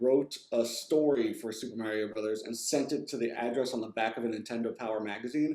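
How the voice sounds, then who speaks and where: A man rattles along very fast, his pitch moving in a typical way. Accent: American. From New Jersey. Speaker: video game writer. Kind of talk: interview. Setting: video call. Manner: casual, many fillers.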